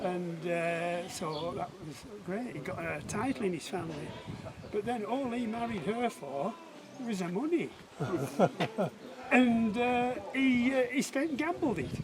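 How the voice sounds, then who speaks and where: Against crowd noise in the background, a man speaks at a high pitch and fairly slow pace, with very wide pitch swings and long, frequent pauses. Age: 70s. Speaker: local farmer. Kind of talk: casual chat. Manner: halting.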